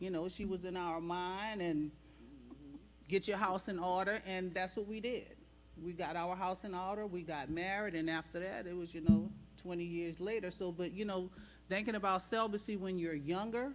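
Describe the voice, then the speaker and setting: A woman's medium-pitched voice at a moderate pace, fairly even in intonation, with audible room echo and music in the background. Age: 60s. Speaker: church panelist. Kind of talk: panel discussion. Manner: casual.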